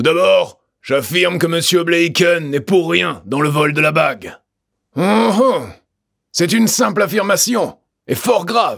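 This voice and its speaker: A raspy, put-on character voice moves at a fairly slow pace with long, frequent pauses. Its intonation is lively and its loudness very even. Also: man, high pitch for a man. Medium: read story. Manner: measured, deliberate, theatrical.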